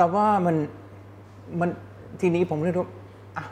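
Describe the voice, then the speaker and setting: A man speaks with a German accent. His pitch is high. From Germany. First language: German (speaking Thai). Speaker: advertising executive. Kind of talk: interview.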